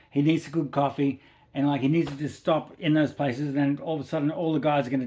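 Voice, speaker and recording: A man with an Australian accent talks very fast at a fairly high pitch, keeping his intonation fairly even. The recording is very clean, with a silent background. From Western Sydney, Australia. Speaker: podcast producer, former racer. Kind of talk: casual quiz game.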